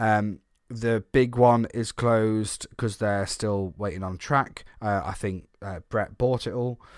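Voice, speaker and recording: On a very clean recording with a silent background, a man speaks in a plain, everyday voice at a fairly low pitch, a fairly slow pace and with fairly even intonation. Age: 30s. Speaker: theme park podcaster. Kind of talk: casual chat.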